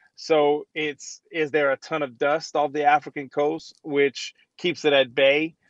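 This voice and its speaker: A man with an American accent, fairly high-pitched, speaking at a fairly slow pace in a flat monotone, the sound dry and close with no echo. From Louisiana. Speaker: former football player, radio host. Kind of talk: casual chat. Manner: hesitant, filler-heavy.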